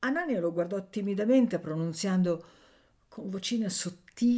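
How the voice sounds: A natural reading voice carries the clip.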